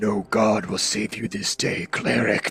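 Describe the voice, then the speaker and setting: Raspy put-on character voice from a man at a fairly low pitch and a fairly slow pace. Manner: dark, menacing.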